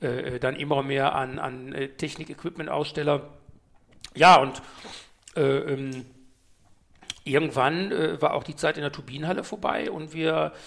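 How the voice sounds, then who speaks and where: A man's fairly high voice with vocal fry, at a fairly slow pace with ordinary pitch variation and long, frequent pauses. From Ruhr area, Germany (Mülheim an der Ruhr). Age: 50s. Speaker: DJ and event organizer. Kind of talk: interview.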